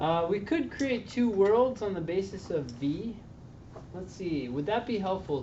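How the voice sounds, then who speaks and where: A man with very wide pitch swings at a fairly slow pace, with audible room echo and noticeable background noise. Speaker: LSAT tutor. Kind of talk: tutoring session with students.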